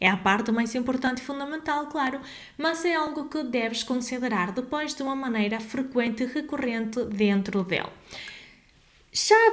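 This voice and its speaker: Lively intonation marks this woman's high-pitched voice at a moderate pace. Noticeable background noise and audible room echo fill the recording. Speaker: legal advisor. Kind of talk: tutorial.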